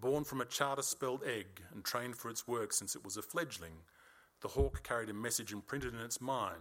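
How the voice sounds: The pitch shows ordinary variation. It comes in a natural reading voice.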